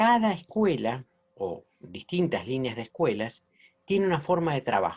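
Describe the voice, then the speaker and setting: This man's voice is high-pitched, moving at a moderate pace with very wide pitch swings. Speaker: holistic therapy teacher. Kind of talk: lecture.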